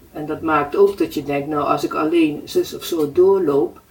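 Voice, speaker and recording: Fairly slow speech from a woman with noticeable background noise behind it. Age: 70s. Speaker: client of a foot therapist. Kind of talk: interview.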